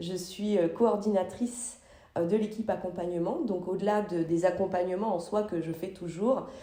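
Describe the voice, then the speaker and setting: A woman speaks fairly slowly amid noticeable background noise and audible room echo. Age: 40s. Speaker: psychologist. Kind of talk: interview. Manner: halting, many fillers.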